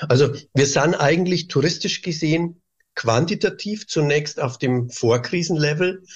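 A man speaks at a fairly slow pace with a fairly high pitch and ordinary pitch variation. He has an ordinary speaking voice. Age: 50s. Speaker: tourism board director. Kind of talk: interview.

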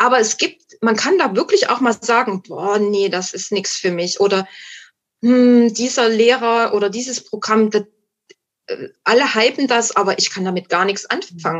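A woman speaks at a moderate pace. Her pitch is fairly high, with ordinary pitch variation. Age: 50s. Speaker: guest sharing recovery from alcohol addiction. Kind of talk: casual interview chat. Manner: halting, many fillers and restarts.

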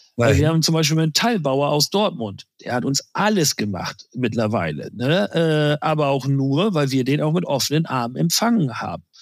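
An ordinary speaking voice from a man with a fairly high pitch and lively intonation. He talks at a moderate pace with hardly any pauses. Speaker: insurance sales executive. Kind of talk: interview. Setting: remote call.

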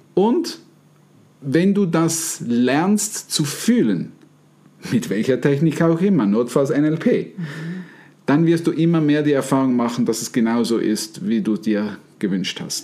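The voice has a dark, mellow tone and very wide pitch swings. It moves at a very slow pace, with long, frequent pauses. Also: man, fairly high pitch for a man. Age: 50s. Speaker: NLP trainer and podcast host. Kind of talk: casual chat.

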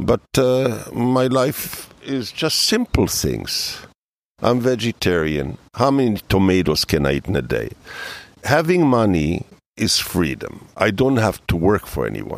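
A man with a fairly low voice lets his pitch swing very widely. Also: fairly slow pace. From Israel, then Canada. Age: 70s. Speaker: inventor and engineer. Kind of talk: interview.

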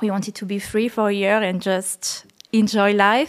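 A woman with a French accent is heard in a very clean recording with a silent background. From France, La Creuse countryside. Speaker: painter. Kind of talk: interview.

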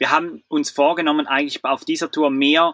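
At a fairly quick pace, a man with a bright, sharp tone speaks at a fairly high pitch with fairly even intonation, in a dry, close sound with no echo and a very clean recording with a silent background. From Switzerland. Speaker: traveller, van-life couple. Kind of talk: casual interview.

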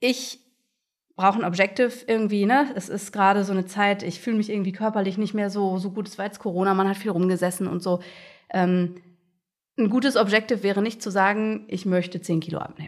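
A woman with an ordinary speaking voice talks at a medium pitch with fairly even intonation, captured in a very clean recording against a silent background. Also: fairly quick pace. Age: 30s. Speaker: agile coach. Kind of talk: interview.

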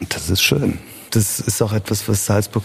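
Moderate pacing from a man with a fairly low pitch. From Germany, then Vienna from age 13. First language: Italian (speaking German). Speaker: festival director and pianist. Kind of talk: interview.

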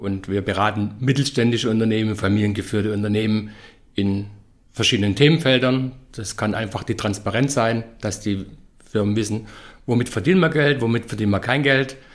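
This man talks at a fairly quick pace in a fairly low voice, with ordinary pitch variation. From Stuttgart, Swabia, Germany. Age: 50s. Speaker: business consultant and professor. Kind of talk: podcast interview. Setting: office in Nuremberg. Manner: energetic.

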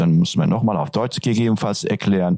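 This man's voice sits fairly low in pitch. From Turkey, Antalya region. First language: Turkish (speaking German). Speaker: teacher. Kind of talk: interview. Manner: hesitant, many fillers.

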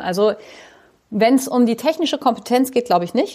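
Her pitch varies in an ordinary way as a woman speaks at a fairly quick pace. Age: 40s. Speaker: school principal. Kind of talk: interview. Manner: animated.

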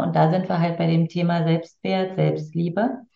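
Somewhat breathy speech at a fairly slow pace. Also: woman. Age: 50s. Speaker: tantra teacher and coach. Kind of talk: casual interview.

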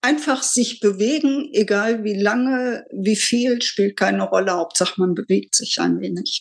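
Her voice is an unremarkable speaking voice, fairly high for a woman, with ordinary pitch variation, a fairly slow pace and hardly any pauses. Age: 60s. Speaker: retiree. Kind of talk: casual chat.

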